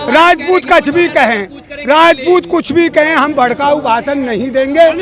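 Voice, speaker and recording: An animated man with extremely high pitch and ordinary pitch variation over noticeable background noise. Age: 70s. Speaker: farmer. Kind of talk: street interview.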